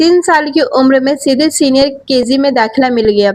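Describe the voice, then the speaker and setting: Noticeable background noise accompanies a woman whose high voice shows ordinary pitch variation. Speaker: news presenter. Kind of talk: news story narration.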